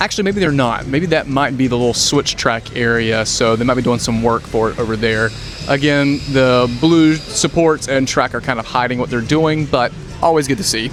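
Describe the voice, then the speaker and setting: Noticeable background noise sits behind a speaker with a Southern US accent, talking at a moderate pace with ordinary pitch variation. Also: man, medium pitch for a man. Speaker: theme park vlogger. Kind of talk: walking tour commentary. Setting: outdoors.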